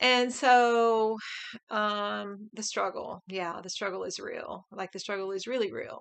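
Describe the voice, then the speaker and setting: At a fairly slow pace, a woman speaks with big swings in loudness. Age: 50s. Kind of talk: casual talk to camera.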